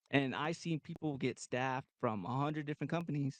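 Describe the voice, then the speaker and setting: A man speaks at a fairly quick pace with a Texan accent and a fairly high pitch. The sound is dry and close, with no echo. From Texas (Goliad). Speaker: kayak tournament angler. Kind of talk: casual chat. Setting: studio.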